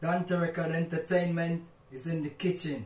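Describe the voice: A man speaks at a fairly slow pace with a fairly high pitch and a slightly mellow tone, with audible room echo.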